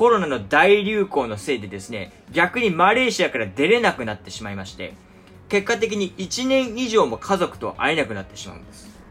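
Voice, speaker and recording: Vocal fry marks a man's bright, sharp tone as his pitch swings very widely. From Japan. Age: 20s. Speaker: podcast host. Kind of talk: casual monologue. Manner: many filler words.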